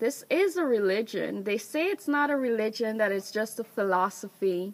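A woman's voice at a fairly slow pace, with very wide pitch swings. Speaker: vlogger. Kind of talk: casual vlog chat about personal beliefs. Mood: earnest, reflective. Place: open country. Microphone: phone near.

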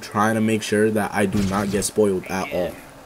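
Over noticeable background noise, a man speaks at a fairly quick pace. His pitch is fairly low and his tone animated. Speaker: gaming YouTuber. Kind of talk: gameplay commentary. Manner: casual, animated.

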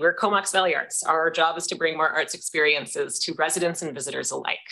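Against a quiet background, a woman with a bright, sharp tone and fairly low pitch speaks at a fairly quick pace with fairly even intonation. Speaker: executive director of arts nonprofit, former teacher; former teacher. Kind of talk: delegation presentation to council committee. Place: meeting room.

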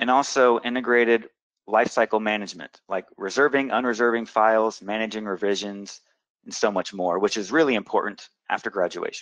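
A man speaks at a fairly quick pace with a medium pitch. His intonation stays fairly even. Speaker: software product presenter. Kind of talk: webinar presentation. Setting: online webinar. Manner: fast talker.

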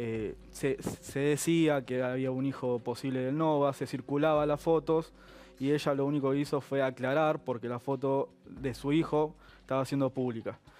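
The man speaks with a fairly high pitch in a monotone, flat delivery. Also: moderate pace. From Argentina. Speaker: lawyer; guest. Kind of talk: TV interview. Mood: calm, measured. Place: studio. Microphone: headset.

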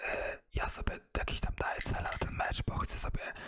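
The speaker is a man, whispering. His pace is fairly slow. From Poland. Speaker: ASMR content creator and gamer. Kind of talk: casual talk to camera. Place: home room. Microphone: studio mic.

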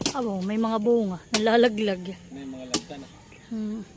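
A woman with a plain, everyday voice speaks at a moderate pace, her fairly high pitch showing ordinary variation. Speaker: farming vlogger. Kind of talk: casual vlog narration. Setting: outdoors at a farm.

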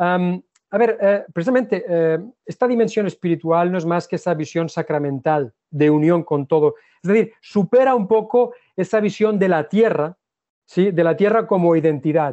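This man talks at a moderate pace in a high voice, with ordinary pitch variation. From Spain, Catalonia (Ebro delta). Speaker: geologist and visiting professor. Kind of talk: lecture. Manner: halting.

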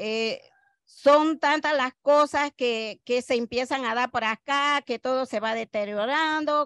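A woman speaks at a very slow pace, her pitch varying in an ordinary way. The background is quiet, and the sound is dry with no echo. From Panama. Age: 60s. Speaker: coffee farmer. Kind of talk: interview. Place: garden. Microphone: handheld.

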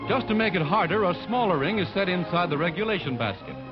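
Over clear background music, a man with a high pitch speaks at a very fast pace. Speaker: newsreel narrator. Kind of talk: newsreel narration. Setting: vintage 1940s film recording. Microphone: old recording.

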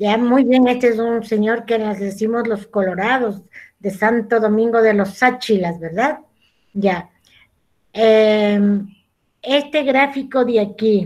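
Against a quiet background, a woman speaks at a very slow pace with fairly even intonation. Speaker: school teacher. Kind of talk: online class lesson. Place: home room. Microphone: video call.

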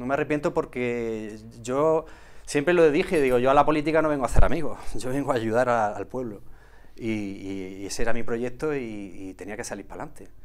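A man with medium pitch speaks at a fairly quick pace with ordinary pitch variation. His loudness swings widely. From Andalusia, Villanueva del Arzobispo area, Jaén; Andalusia, Spain. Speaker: olive farmer and former local politician; former local politician, interview guest. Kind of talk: casual interview. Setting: TV studio. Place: studio. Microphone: lapel.

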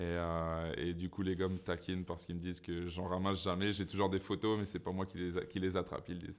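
A man talks at a fairly quick pace in a very deep, low voice, with hardly any pauses. His intonation is monotone and flat. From Saint-Pierre-et-Miquelon. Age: 30s. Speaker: professional ice hockey player. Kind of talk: interview answers; interview answer. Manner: hesitant, many fillers and repetitions. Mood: relaxed, smiling. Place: studio.

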